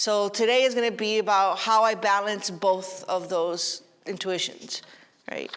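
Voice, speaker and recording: Audible room echo surrounds a woman whose animated tone and medium pitch come through at a fairly slow pace. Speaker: philosophy professor. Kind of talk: lecture. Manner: loud.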